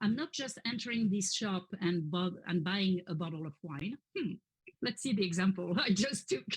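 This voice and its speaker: A woman with a French accent speaks at a medium pitch and moderate pace, somewhat breathy, with lively intonation. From France, Paris area. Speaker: French teacher. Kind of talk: interview workshop.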